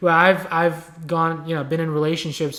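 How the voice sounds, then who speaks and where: A man is speaking in a Bengali accent. His pitch is fairly high. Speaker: podcast co-host. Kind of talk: casual chat.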